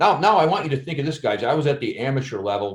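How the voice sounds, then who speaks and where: An American man with a somewhat breathy voice and fairly high pitch talks at a very fast pace. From Chicago, US Midwest. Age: 50s. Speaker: actor and former police officer. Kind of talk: casual chat. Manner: halting, many repetitions.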